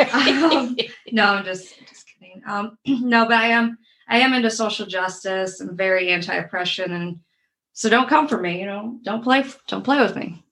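A woman's bright, sharp voice with big swings in loudness. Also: fairly high pitch for a woman, ordinary pitch variation, moderate pace. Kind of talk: casual chat. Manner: joking, playful.

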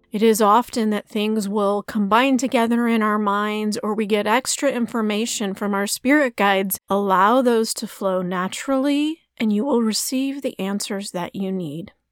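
A woman with an ordinary speaking voice talks at a fairly high pitch, with ordinary pitch variation and hardly any pauses. The recording is very clean, dry and close, with no echo and a silent background. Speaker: meditation guide. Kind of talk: spiritual guided meditation with long reflective pauses. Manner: slow, gentle, soothing pacing with silent gaps; calm, softly directive invitations and open questions.

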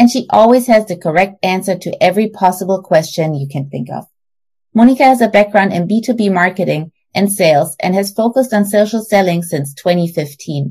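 Against a quiet background, a woman with a German accent speaks in a dark, mellow tone that is somewhat breathy. Her medium-pitched voice carries lively intonation. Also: moderate pace. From Germany. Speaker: podcast host. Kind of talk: scripted narration.

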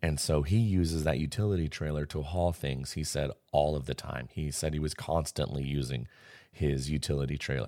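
Recorded very cleanly against a silent background, a man with an American accent speaks at a moderate pace with very deep, low pitch, ordinary pitch variation and a dark, mellow tone. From US Pacific Northwest. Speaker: podcast host. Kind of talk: solo podcast monologue. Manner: casual.

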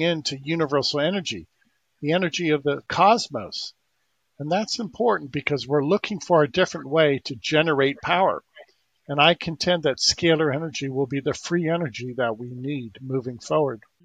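Through a dry, close sound with no echo, a man with a normal speaking voice talks at a fairly quick pace, pitched fairly high with ordinary variation. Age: 60s. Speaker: inventor promoting energy healing devices. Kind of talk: interview.

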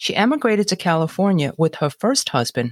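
Sounding dry and close with no echo, a woman with an American accent speaks at medium pitch with very wide pitch swings. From Brooklyn, New York. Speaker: podcast host. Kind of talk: interview intro and questions.

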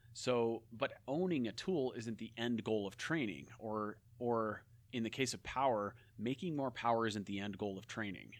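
A man with a plain, everyday voice keeps a medium tempo, his middle-range pitch moving in a typical way. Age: 40s. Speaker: former pro cyclist and coach. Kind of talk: casual interview. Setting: in person.

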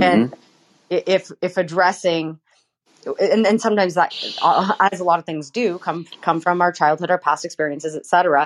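A woman with a fairly low voice and ordinary pitch variation is recorded dry and close with no echo. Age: 30s. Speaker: actor and singer. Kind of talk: casual chat. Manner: halting, many fillers.

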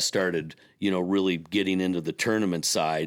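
At a moderate pace, the speaker uses monotone, flat intonation in an Upper Midwest accent, captured in a very clean recording with a silent background. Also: man. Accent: Upper Midwest (Minnesota). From US Midwest, Minnesota lakes area. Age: 60s. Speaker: former boat dealership owner. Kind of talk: podcast interview. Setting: studio.

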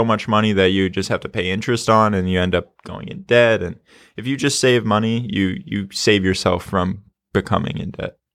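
A man with an unremarkable speaking voice talks at a moderate pace, with fairly low pitch and ordinary pitch variation. The recording is very clean, with a silent background. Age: young. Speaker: real estate investor. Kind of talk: casual chat.

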